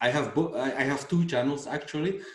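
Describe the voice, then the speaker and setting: With a Flemish Belgian accent, the speaker talks at a moderate pace with ordinary pitch variation, and audible room echo surrounds the voice. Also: man. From Belgium. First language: Dutch. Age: 40s. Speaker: dermatologist and fitness YouTuber. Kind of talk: interview conversation.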